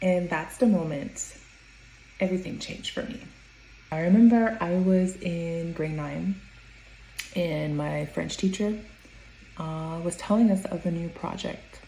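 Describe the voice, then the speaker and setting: There is noticeable background noise behind this recording. A woman talks over it at a moderate pace. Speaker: adult who stutters. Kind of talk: personal story told to camera.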